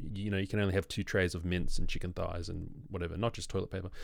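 A man talks with an Australian accent. The recording is very clean, the background silent. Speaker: podcast host. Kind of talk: casual chat.

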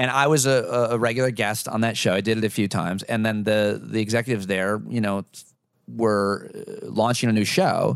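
A man with an American accent and an unremarkable speaking voice talks at a fairly quick pace, fairly low in pitch with fairly even intonation. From rural US, Syria, New York. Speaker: former personal trainer and podcaster. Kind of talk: casual chat. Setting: host's kitchen.

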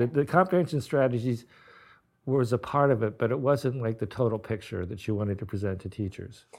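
This is an ordinary speaking voice from a man at a medium pitch. He talks at a fairly quick pace with ordinary pitch variation. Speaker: interviewer, book editor and educator. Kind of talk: interview conversation.

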